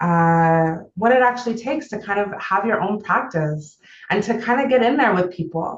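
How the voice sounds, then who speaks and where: A woman with a strong Canadian accent, fairly high pitch and lively intonation, at a fairly slow pace. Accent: thick Canadian. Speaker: therapist. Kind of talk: online seminar talk. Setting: video call.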